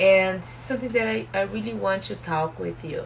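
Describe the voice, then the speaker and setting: Speaking with a strong Brazilian accent and very wide pitch swings, a woman is heard with audible room echo and noticeable background noise. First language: Portuguese. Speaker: spiritual self-help YouTuber. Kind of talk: live stream book talk. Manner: halting, many fillers.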